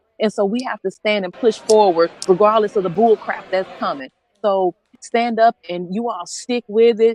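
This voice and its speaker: Speaking with a passionate tone and an American accent, a woman uses a fairly high pitch and ordinary pitch variation. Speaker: registered nurse, pastor and activist. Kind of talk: rally speech. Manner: fast; passionate, emphatic.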